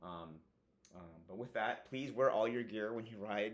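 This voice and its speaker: Fairly low pitch from a male speaker. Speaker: motorcycle gear reviewer, engineer. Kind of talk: product review monologue. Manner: fast; casual, many fillers.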